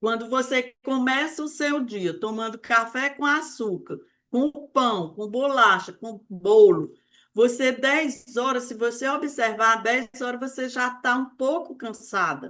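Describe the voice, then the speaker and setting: Against a quiet background, a woman speaks very slowly at a high pitch, with a bright, sharp tone and ordinary pitch variation. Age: 60s. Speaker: weight-loss mentor. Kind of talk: live online talk. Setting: live stream.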